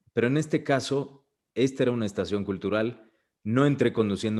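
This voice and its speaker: The speaker is a man with a Mexican accent. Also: very clean recording, silent background. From Mexico. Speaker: voice actor. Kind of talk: interview answer. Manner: casual, conversational.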